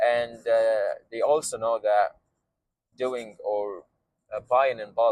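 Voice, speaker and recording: A man with an Arabic accent talks at a very slow pace. He leaves long, frequent pauses. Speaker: vlogger and beverage entrepreneur. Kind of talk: casual vlog monologue. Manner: halting, many fillers.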